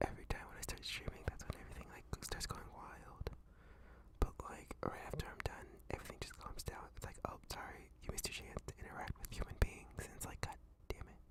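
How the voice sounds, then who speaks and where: A man whispering at a fairly quick pace, loudness swinging widely, with noticeable background noise. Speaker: VTuber streamer. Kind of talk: casual chatting stream. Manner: casual, conversational, laid-back.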